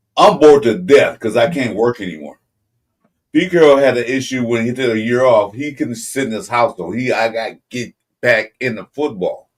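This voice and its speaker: This man has an ordinary speaking voice, with a medium pitch, a moderate pace and lively intonation. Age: 60s. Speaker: sports podcast co-host. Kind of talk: casual sports debate.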